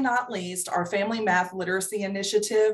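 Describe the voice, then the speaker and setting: A woman speaks at a fairly quick pace with fairly even intonation in a normal speaking voice. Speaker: state agency program official. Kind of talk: video-call committee meeting presentation. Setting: video call.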